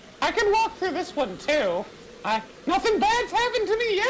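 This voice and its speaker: A squeaky, extremely high put-on character voice moves at a moderate pace over clear background noise. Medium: actual play. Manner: breezy, casual.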